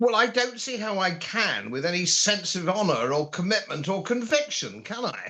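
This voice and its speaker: In a British accent, a man uses a raised, projected voice with a high pitch, a bright, sharp tone and very wide pitch swings at a moderate pace over a quiet background. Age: 70s. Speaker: political commentator. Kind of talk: political interview.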